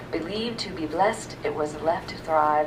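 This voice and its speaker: A soft-spoken woman at a fairly slow pace, her pitch fairly low, with audible room echo and noticeable background noise. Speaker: university staff member reading own poems. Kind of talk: poetry reading. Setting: library reading with audience.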